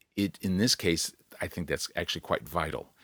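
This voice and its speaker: A man speaks at a moderate pace with a very deep, low pitch. The sound is dry and close, with no echo. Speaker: podcast host. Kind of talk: solo podcast monologue, unscripted. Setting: home recording alone. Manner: informal, self-deprecating, rambling with restarts.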